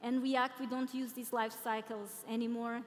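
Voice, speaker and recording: A woman with a Portuguese accent, fairly even intonation and a moderate pace. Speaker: product designer and conference speaker. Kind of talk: conference talk. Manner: halting.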